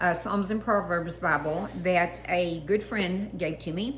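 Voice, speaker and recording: A woman talks at a fairly slow pace with fairly even intonation. Audible room echo surrounds her voice. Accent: Texas. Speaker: online Bible reader. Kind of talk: reading aloud and personal reflection. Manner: halting, many fillers.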